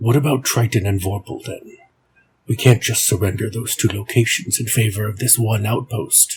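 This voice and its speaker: A man puts on a character voice at a medium pitch. He talks at a moderate pace. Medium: read story. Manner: thoughtful, deliberate.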